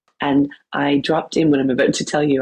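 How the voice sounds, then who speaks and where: A woman with a Canadian accent has a very deep, low pitch and a dark, mellow tone. The sound is dry and close, with no echo. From Canada. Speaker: wellness coach and yoga teacher. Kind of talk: podcast interview. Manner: animated.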